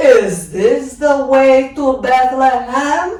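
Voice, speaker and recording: A woman's put-on character voice, high-pitched, with lively intonation, a very slow pace and a slight echo. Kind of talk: royal voice. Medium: read story.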